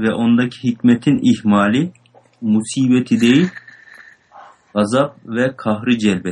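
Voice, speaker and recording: Medium pitch from a man speaking at a very slow pace. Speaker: student reading text aloud. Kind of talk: reading aloud and explaining a text.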